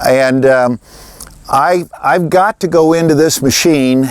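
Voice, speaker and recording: This man has a plain, everyday voice, fairly high in pitch with ordinary pitch variation, and the sound is dry and close with no echo. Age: 60s. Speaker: farmer. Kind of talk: tutorial. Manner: casual.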